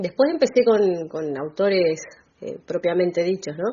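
Speaking at a moderate pace, a woman uses lively intonation in an unremarkable speaking voice. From Argentina, Bahía Blanca. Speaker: writer and teacher. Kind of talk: radio interview.

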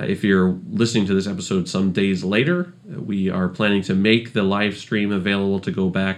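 Man with a very deep, low pitch, fairly even intonation and a moderate pace. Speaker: podcast producer. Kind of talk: announcement.

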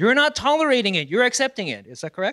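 A raised, projected voice with a bright, sharp tone, very wide pitch swings and a fairly quick pace, dry and close with no echo on a very clean recording with a silent background. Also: man. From South Korea. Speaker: apologetics speaker. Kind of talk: live presentation.

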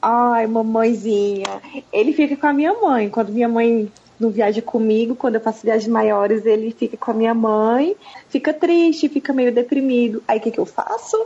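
Amid noticeable background noise, a woman with a fairly high pitch speaks at a moderate pace, her loudness very even and her pitch variation ordinary. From Brazil, Brasília. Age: 30s. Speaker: physiotherapist and traveler. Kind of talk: casual chat.

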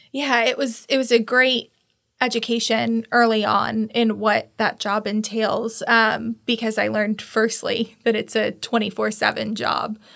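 Slowish and flat, a woman's fairly high voice carries vocal fry and a monotone delivery. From Tallahassee, Florida. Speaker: downtown development agency CEO, former funeral director. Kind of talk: casual interview.

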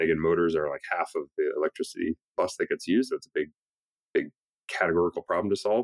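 A man with a Canadian accent talks at a very fast pace. The sound is dry and close, with no echo. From Canada, Toronto. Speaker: entrepreneur and investor. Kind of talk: interview.

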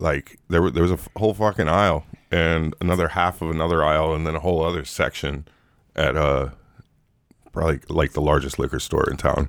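Speaking at a fairly quick pace, a man with a very deep, low pitch and vocal fry keeps his intonation fairly even in a very clean recording with a silent background. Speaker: podcast co-host. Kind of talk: casual chat.

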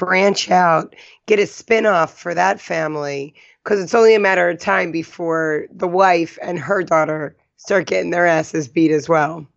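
A woman with a fairly low voice talks at a moderate speed, her pitch varying in an ordinary way. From New Jersey. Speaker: podcast co-host. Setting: San Francisco area.

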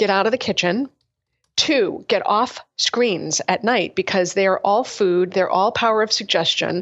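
A woman speaks in an unremarkable speaking voice at a medium pitch and a fairly slow pace, with ordinary pitch variation and very even loudness. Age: 40s. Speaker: functional medicine doctor. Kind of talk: casual interview.

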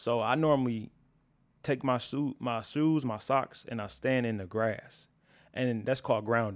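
In a very clean recording with a silent background, a man with a plain, everyday voice speaks at medium pitch, at a fairly slow pace and with fairly even intonation. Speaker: video editor. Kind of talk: casual conversation.

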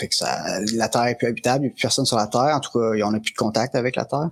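A man's fairly even-toned speech in a Quebec accent, with a dry, close sound and no echo. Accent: Québécois French. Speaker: game master. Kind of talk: tabletop role-playing game narration.

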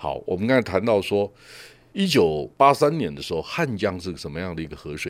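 On a very clean recording with a silent background, a man of fairly low pitch speaks at a fairly quick pace with very wide pitch swings and big swings in loudness. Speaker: tech industry commentator, show host. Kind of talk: casual chat.

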